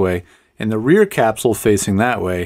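A man speaks at a moderate speed, and the background stays quiet. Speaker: tech reviewer. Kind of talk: tutorial. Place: studio. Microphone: studio mic.

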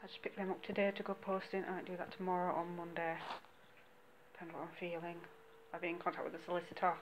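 The pace is fast and the intonation monotone and flat. Faint background noise sits underneath. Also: woman, fairly low pitch for a woman.

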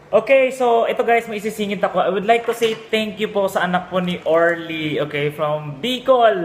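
A man with a high voice speaks at a moderate pace, with ordinary pitch variation, hardly any pauses and noticeable background noise. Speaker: vlogger. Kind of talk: casual vlog talk.

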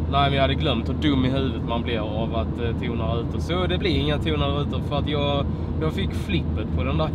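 Over loud background noise, a man speaks at a fairly quick pace. The sound is dry with no echo. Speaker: car vlogger. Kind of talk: casual vlog chat. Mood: relaxed, mildly disappointed. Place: car. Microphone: phone near.

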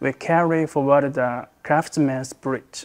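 Against a quiet background, a man speaks at a very slow pace with fairly even intonation. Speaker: sales manager. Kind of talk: interview answer. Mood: calm, earnest. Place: office. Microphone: lapel.

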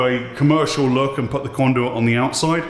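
The man speaks at a fairly quick pace with fairly even intonation, and there is audible room echo. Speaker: scuba instructor building a dive locker. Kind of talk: casual vlog chat. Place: empty room. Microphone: phone near.

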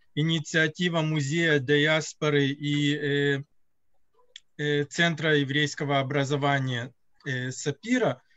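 Long, frequent pauses break up a man's very slow speech. His pitch is fairly high and his intonation fairly even. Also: quiet background. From Russian-speaking country, moved to Israel at 9. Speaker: event moderator; lecturer or host of online lecture. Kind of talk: closing remarks. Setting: video call. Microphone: video call.

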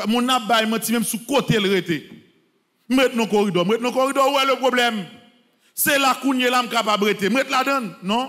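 At a moderate pace, a man speaks in a raised, projected voice. The background is quiet. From Haiti. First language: Haitian Creole (speaking French). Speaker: priest. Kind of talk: sermon. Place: church. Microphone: podium.

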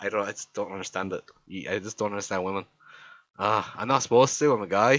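A man with an Irish accent. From Ireland. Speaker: YouTuber friend doing a comic voiceover. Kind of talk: comedic voiceover commentary. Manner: animated, exclamatory.

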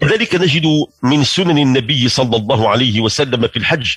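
A man with a Moroccan accent and lively intonation, at a moderate pace, in a dry sound with no echo and a quiet background. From Morocco. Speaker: religious radio host. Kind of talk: religious talk. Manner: formal. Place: studio.

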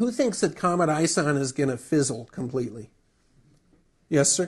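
An American accent marks this man's ordinary speaking voice, pitched fairly high. He goes at a moderate pace with lively intonation. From US Midwest, Wisconsin. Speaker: astronomy magazine editor. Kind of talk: public lecture.

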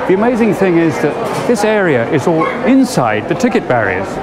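The speaker keeps a moderate pace despite loud background noise. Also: man. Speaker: TV presenter. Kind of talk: presenter piece to camera. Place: station. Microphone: lapel.

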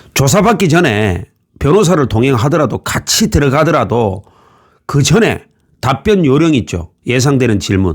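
This man's fairly high voice has vocal fry and very wide pitch swings, at a moderate pace and very even loudness. The recording is very clean, with a silent background. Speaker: former police investigator giving legal advice. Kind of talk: tutorial.

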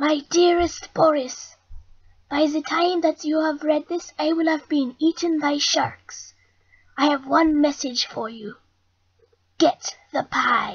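This cartoonish character voice is high-pitched and fairly slow, broken by long, frequent pauses. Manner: cheerful, friendly.

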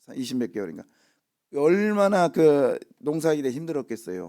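On a very clean recording with a silent background, a man speaks with a dark, mellow tone at a fairly high pitch. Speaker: pastor. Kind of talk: sermon. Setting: church. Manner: casual, halting with fillers.

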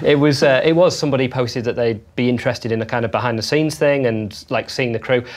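Ordinary pitch variation at a fast pace, over faint background noise. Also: man, medium pitch for a man.

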